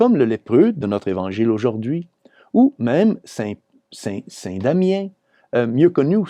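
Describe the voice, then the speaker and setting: The man's voice has a dark, mellow tone at a medium pitch, with very wide pitch swings. The background is quiet. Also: dry, close sound with no echo. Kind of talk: Gospel commentary / homily.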